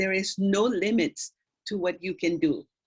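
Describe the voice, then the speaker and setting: A woman speaks in a Spanish accent at a moderate pace. Her pitch is medium, with ordinary pitch variation. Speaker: doctor speaking at school career day. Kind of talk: career talk to students. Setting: video call.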